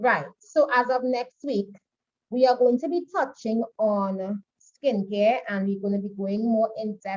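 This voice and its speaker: Speaking at a fairly slow pace, a woman uses a normal speaking voice with ordinary pitch variation. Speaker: makeup artistry instructor. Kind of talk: online class lecture.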